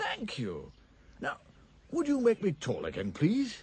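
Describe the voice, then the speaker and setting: A squeaky, put-on character voice from a man, high in pitch and fairly slow in pace. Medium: voice reel.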